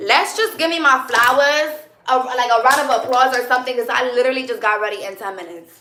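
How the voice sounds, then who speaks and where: A woman's raised, projected, energetic voice, high in pitch with lively intonation, at a very fast pace with big swings in loudness and audible room echo. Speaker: live streamer. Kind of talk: live stream chat with viewers. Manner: loud, energetic.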